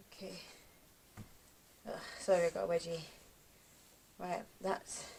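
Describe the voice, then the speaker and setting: This speaker is a woman with a British accent. She talks at a moderate pace. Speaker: vlogger. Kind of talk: casual vlog talk to camera. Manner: sluggish.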